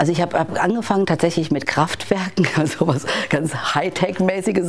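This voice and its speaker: A woman speaks over noticeable background noise. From Bavaria, Germany. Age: 50s. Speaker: corporate digital executive. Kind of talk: interview. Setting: in-person recording in Hamburg.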